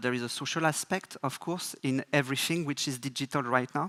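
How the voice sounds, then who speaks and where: A man's fairly high, bright, sharp voice with a French accent, fairly quick and with ordinary pitch variation, in a dry, close, very clean recording with a silent background and no echo. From France. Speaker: advertising creative director. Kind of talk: conference keynote. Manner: halting, many fillers.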